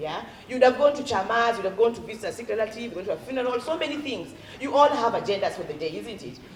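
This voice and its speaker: Animated and very fast, a woman speaks with a Kenyan accent at a fairly high pitch. Noticeable background noise and audible room echo fill the recording. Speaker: education consultant, former teacher. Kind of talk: parent workshop talk.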